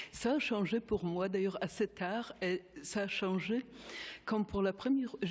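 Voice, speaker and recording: A woman's medium-pitched voice in a Polish accent, very slow pace, ordinary pitch variation and very even loudness. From Poland. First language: Polish (speaking French). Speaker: geneticist, panel speaker. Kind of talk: conference talk. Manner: halting.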